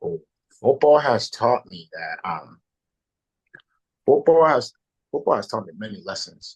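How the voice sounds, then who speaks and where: Speaking at a fairly slow pace, a man takes long, frequent pauses, and his loudness swings widely. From Liberia, moved to US as a child in 2012. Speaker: college football player. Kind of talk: interview. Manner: animated.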